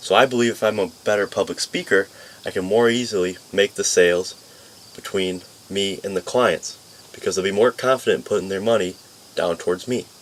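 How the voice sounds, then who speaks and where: A man talks at a fairly quick pace. There is noticeable background noise. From upstate New York. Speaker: community college student. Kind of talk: class speech. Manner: fast when nervous.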